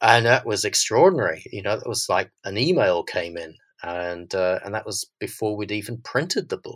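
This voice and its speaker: In a very clean recording with a silent background, a man with an Australian accent speaks at a moderate pace with hardly any pauses and big swings in loudness. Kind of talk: interview conversation.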